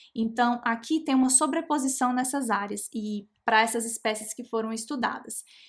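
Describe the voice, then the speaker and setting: A woman talks at a moderate pace with a high pitch and fairly even intonation. She leaves hardly any pauses. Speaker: genetics educator. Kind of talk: live online lecture.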